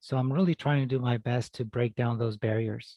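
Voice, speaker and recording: His tone is dark and mellow, at a medium pitch for a man. He sounds somewhat breathy, with fairly even intonation. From California Central Valley (moved from Mexico at 5-6). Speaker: family medicine doctor. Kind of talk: interview.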